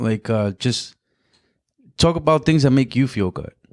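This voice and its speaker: This is a man speaking with a Spanish accent. His pace is moderate. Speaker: comedian and photographer. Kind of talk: casual chat. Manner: halting.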